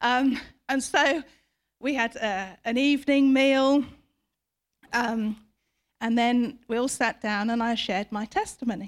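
A woman with a British accent speaks fairly slowly in a high pitch, with long, frequent pauses. The recording is very clean, with a silent background. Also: ordinary pitch variation. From Britain. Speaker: preacher. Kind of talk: sermon.

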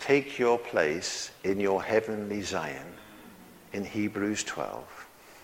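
A very slow pace with a British accent and ordinary pitch variation. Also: man, fairly low pitch for a man. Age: 70s. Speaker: preacher. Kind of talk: sermon.

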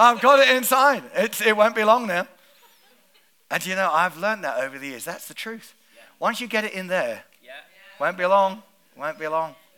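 A raised, projected voice with a bright, sharp tone and an animated tone moves at a moderate pace with lively intonation. Its loudness swings widely, and it leaves long, frequent pauses. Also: man, high pitch for a man. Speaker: pastor. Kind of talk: sermon. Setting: church.

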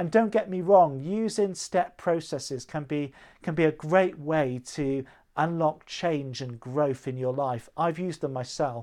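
A fairly high, dark and mellow male voice with lively intonation at a fairly slow pace, on a very clean recording with a silent background. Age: 30s. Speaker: vicar. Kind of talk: sermon. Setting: recorded church livestream.

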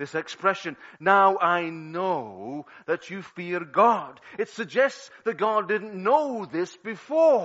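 A man's high, lively voice with a Liverpool accent at a very slow pace. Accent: Scouse (Liverpool). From Liverpool, England. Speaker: pastor. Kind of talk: sermon. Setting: church.

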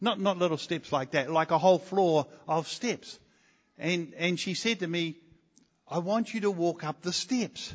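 A man speaks with a New Zealand accent and a high pitch. His pace is moderate, and his pitch variation is ordinary. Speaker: visiting preacher. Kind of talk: sermon. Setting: church.

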